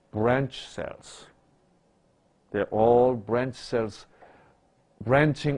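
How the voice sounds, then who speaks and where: A man speaks at a medium pitch. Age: 60s. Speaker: doctor lecturer. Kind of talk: lecture. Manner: interactive questioning.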